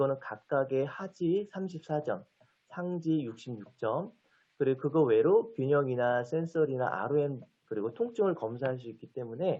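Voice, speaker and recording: A man's normal speaking voice with a fairly high pitch, lively intonation and a moderate pace. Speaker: physical therapy lecturer. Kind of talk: lecture.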